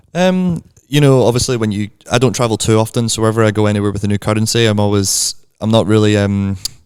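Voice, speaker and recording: A man talks very fast with a Glasgow accent at a fairly low pitch. The recording is very clean, with a silent background. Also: ordinary pitch variation. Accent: Scottish (Glasgow), audible. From Scotland. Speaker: barista and coffee content creator. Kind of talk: casual chat. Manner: hesitant, many fillers.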